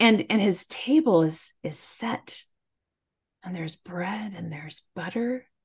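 This woman's voice is somewhat breathy, with lively intonation and big swings in loudness. She speaks at a fairly slow pace. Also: medium pitch for a woman. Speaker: spiritual ecologist and storyteller. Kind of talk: storytelling narration, folktale told aloud to listeners.

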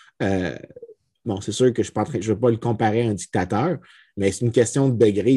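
A man speaks at a medium pitch, his tone dark and mellow. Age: 30s. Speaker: economics lecturer. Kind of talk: casual chat.

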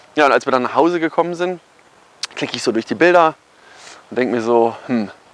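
With lively intonation and a fairly high pitch, a man speaks at a moderate pace amid noticeable background noise. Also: long, frequent pauses. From Germany, Kassel area (northern Hesse). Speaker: photographer and marketing YouTuber. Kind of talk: casual personal story vlog. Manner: casual, filler-heavy.

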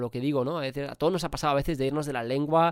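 On a very clean recording with a silent background, a man speaks at a medium pitch.

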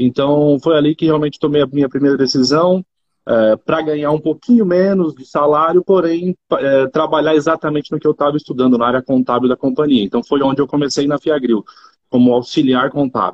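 A man with an ordinary speaking voice talks at a fairly quick pace, his fairly high pitch showing ordinary pitch variation. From Brazil, Rondônia. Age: 30s. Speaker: agribusiness executive. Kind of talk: interview.

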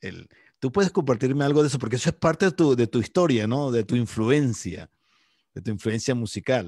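A man talks with lively intonation in a dry, close sound with no echo, on a very clean recording against a silent background. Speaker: podcast host. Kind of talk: casual chat. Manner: halting, repeats words.

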